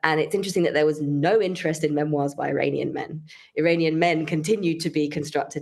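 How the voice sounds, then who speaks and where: A woman with a British accent, very deep and low in pitch, with vocal fry, ordinary pitch variation and a very fast pace. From United Kingdom. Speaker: composer and researcher. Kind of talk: interview. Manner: fluent, with frequent fillers like you know.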